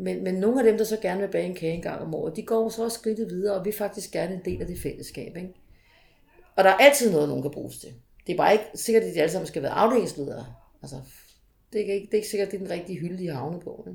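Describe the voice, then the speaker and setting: At a very fast pace, a woman talks with vocal fry, lively intonation and big swings in loudness. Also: medium pitch for a woman. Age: 40s. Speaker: municipal sports consultant. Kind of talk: interview. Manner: hesitant with fillers.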